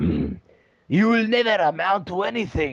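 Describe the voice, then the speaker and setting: A man puts on a character voice with a Russian accent, pitched high. He speaks at a fairly slow pace. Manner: harsh, disapproving.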